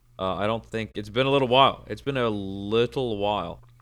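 A loud man at a moderate pace, medium in pitch with ordinary pitch variation and a bright, sharp tone, on a very clean recording with a silent background. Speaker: podcast guest. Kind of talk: casual chat. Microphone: microphone too close, peaking.

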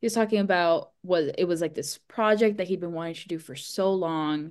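With an American accent and an ordinary speaking voice, a woman talks at a moderate pace and fairly low pitch with ordinary pitch variation against a quiet background. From US, Miami, Florida. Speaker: screenwriter and filmmaker. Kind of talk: casual chat.

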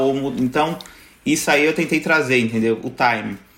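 The voice belongs to a man. Background noise can be noticeably heard. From São Paulo, Brazil (Zona Sul). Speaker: YouTuber. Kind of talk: casual chat.

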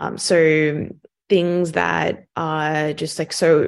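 A woman talks with an Australian accent. The background is quiet. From Sydney, Australia. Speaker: venture capital investor. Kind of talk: interview conversation.

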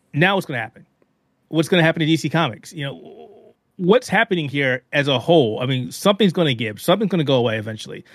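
Talking at a very fast pace, a man with a fairly high voice uses lively intonation. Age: 40s. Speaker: video game and technology journalist. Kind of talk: casual chat.

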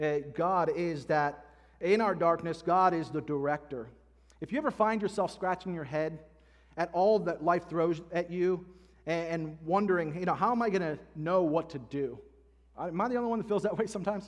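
This man's voice sits high in pitch. Its pitch moves up and down in an ordinary way. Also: moderate pace. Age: 30s. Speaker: pastor. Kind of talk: sermon. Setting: church.

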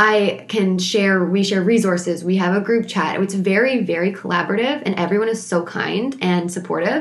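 Amid noticeable background noise, a woman talks with hardly any pauses and very even loudness. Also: medium pitch for a woman, ordinary pitch variation. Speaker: speech-language pathologist podcaster. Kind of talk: solo podcast monologue. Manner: very fast talker, excitable; animated when discussing SLP topics.

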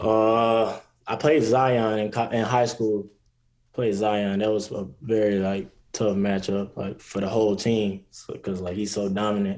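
This man has a plain, everyday voice, fairly low in pitch, with an American accent. He talks at a fairly slow pace with fairly even intonation. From South Carolina, US. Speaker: college basketball player. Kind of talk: interview.

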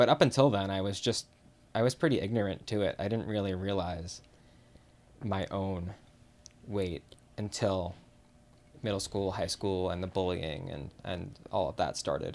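Pausing long and often, a man speaks at a fairly slow pace with a fairly low pitch and ordinary pitch variation. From US Midwest, Chicago. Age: 30s. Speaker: podcast guest. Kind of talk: personal testimony.

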